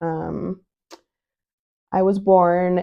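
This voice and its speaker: A woman with an American accent, a normal speaking voice, fairly low pitch, and fairly even intonation. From US West, Utah (South Jordan). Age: 30s. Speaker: podcaster. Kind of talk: personal monologue. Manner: casual, many fillers.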